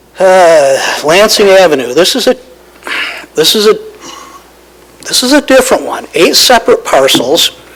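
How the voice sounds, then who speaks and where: This man has a high pitch and very wide pitch swings, moving at a moderate pace with long, frequent pauses. Noticeable background noise runs underneath. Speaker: county staff presenter. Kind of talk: presentation at public meeting. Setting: county board meeting.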